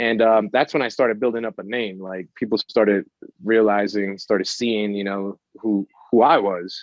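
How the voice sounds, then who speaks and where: The man's pitch is medium and his intonation fairly even. He keeps a moderate pace. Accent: New York. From New York, Brooklyn. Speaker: photographer and musician. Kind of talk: casual interview.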